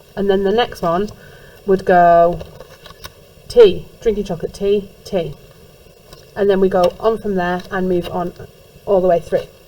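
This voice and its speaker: A woman speaks at a fairly slow pace with long, frequent pauses, her medium-pitched voice monotone and flat. Noticeable background noise can be heard. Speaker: music teacher. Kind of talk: recorded lesson instructions for class.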